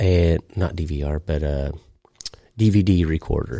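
On a very clean recording with a silent background, a man with an American accent speaks in a dark, mellow tone. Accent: rural US, slight hillbilly. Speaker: podcast host. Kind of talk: casual chat. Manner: halting, filler-heavy.

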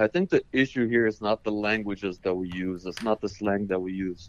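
Man with a plain, everyday voice, fairly low pitch and moderate pace, in a dry, close sound with no echo. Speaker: caller. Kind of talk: call-in discussion. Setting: call.

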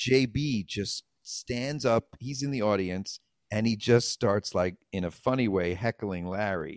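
Very slow speech with ordinary pitch variation and a New York accent, in a dry, close sound with no echo and a very clean recording with a silent background. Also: man. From the Bronx, New York. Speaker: comedian and actor. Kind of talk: casual chat. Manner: animated.

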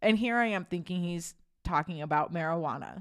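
Recorded very cleanly against a silent background, a woman talks at a moderate pace in a fairly low pitch. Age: 30s. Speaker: churchgoer sharing faith testimony. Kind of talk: testimony. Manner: animated.

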